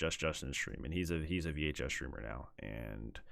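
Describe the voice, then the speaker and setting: The pace is moderate. Vocal fry runs through the voice. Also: man. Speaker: gaming YouTuber. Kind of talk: unedited rant. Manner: stern, not yelling.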